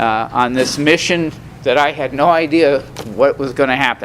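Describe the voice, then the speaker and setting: A man's fairly high voice moves at a moderate pace. Noticeable background noise accompanies his ordinary pitch variation. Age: 70s. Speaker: recovery meeting speaker. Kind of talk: testimony. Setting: meeting with audience. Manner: halting, many fillers.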